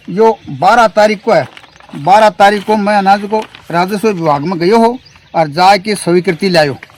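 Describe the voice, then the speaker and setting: Heard over noticeable background noise, a man with a high pitch speaks with ordinary pitch variation. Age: 60s. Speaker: farmer. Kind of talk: interview. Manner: animated; halting.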